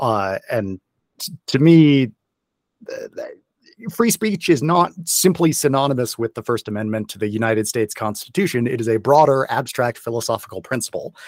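A man with an American accent and an unremarkable speaking voice, medium pitch, lively intonation, big swings in loudness, a moderate pace, and a dry, close sound with no echo. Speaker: podcast host. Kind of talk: casual interview.

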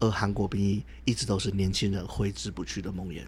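Somewhat breathy, a man speaks at a fairly quick pace with a fairly low pitch. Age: 30s. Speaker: podcast co-host. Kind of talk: casual discussion; scripted narration.

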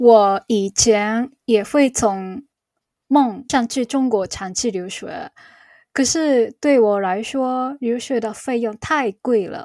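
In a Japanese accent, a dark, mellow voice speaks at a very slow pace with ordinary pitch variation and big swings in loudness, in a very clean recording with a silent background and a dry, close sound with no echo. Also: woman, fairly high pitch for a woman. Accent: Japanese-accented Mandarin. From Japan, Chiba. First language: Japanese (speaking Chinese). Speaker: Japanese teacher and YouTuber. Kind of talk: interview. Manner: halting.

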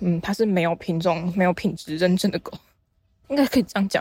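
A somewhat breathy woman's voice at a medium pitch, with ordinary pitch variation. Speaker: podcast host and novice art teacher. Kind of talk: casual solo monologue. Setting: outdoors, walking near fields. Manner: halting, with many fillers.

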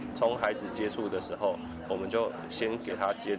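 A man talks while background noise is clearly audible. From Taiwan, Kaohsiung. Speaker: counseling psychologist. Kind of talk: interview. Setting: cafe. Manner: halting.

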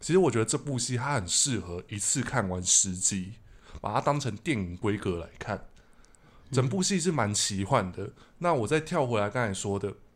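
The recording is very clean with a silent background. A man speaks at a medium pitch with lively intonation. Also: moderate pace. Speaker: podcast host. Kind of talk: casual chat; podcast outro.

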